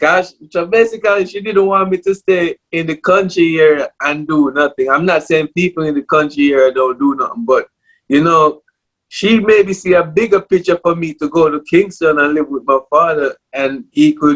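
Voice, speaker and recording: With a Jamaican accent, a man speaks at a high pitch with ordinary pitch variation in a dry, close sound with no echo. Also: moderate pace. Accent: Jamaican English with patois. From Jamaica, Port Maria, Saint Mary (rural). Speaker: clothing brand owner, former musician. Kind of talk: casual interview.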